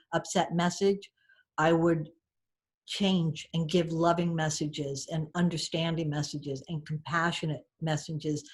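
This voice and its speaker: A somewhat breathy voice in an American accent at a moderate pace, on a very clean recording with a silent background. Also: woman. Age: 60s. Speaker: storyteller and author. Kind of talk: podcast interview.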